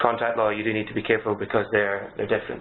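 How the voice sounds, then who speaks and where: The speaker has a Scottish accent. The intonation is monotone and flat. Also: man. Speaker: solicitor. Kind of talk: webinar Q&A. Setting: webinar.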